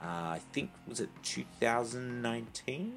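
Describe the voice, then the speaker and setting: Over music in the background, a man with an Australian accent speaks with lively intonation. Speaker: home video segment contributor. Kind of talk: scripted segment.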